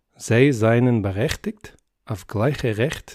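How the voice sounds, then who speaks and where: A soft-spoken man with a medium pitch and ordinary pitch variation, on a very clean recording with a silent background. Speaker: polyglot. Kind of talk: reading of a formal legal text in many languages.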